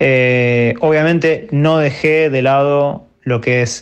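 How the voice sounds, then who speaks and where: A man speaks with ordinary pitch variation. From Argentina, Buenos Aires. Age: 30s. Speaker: DJ and music producer. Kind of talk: interview. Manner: halting, with many fillers and repetitions.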